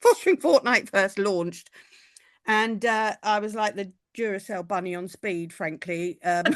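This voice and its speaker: Over a quiet background, a woman with a British accent talks at a medium pitch, her loudness swinging widely and her pitch varying in an ordinary way. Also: moderate pace, dry, close sound with no echo. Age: 60s. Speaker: podcast co-host. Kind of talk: casual chat.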